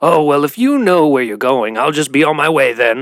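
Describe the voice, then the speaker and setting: Using a put-on character voice, a man speaks fairly high and raspy. He keeps a moderate pace with ordinary pitch variation. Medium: read story. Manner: cryptic, ominous.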